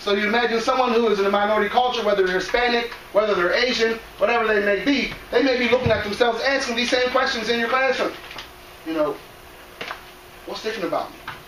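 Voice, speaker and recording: Over noticeable background noise and audible room echo, a man talks very fast in an extremely high voice with ordinary pitch variation and long, frequent pauses. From Cameroon, raised in US from age five. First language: non-English. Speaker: educator, presenter on cultural awareness. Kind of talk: presentation to school staff. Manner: conversational, addresses audience directly.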